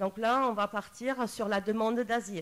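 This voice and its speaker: A woman is talking. Her pitch falls in the medium range. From Germany. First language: German (speaking French). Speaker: psychologist. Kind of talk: panel talk. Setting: round table with audience. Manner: halting, many hesitations.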